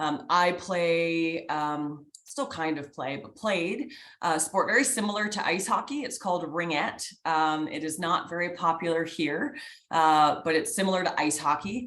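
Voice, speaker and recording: A woman at a fairly slow pace, fairly low in pitch, with lively intonation and audible room echo. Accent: slight Canadian. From Canada. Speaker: sports executive, guest speaker. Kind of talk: guest lecture to students. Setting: video call. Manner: energetic, animated.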